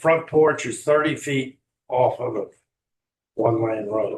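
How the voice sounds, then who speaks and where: Here a man talks in a fairly high pitch with ordinary pitch variation. His voice is somewhat breathy. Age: 80s+. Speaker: local resident speaking at public hearing. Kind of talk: public comment at hearing. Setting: county commission meeting.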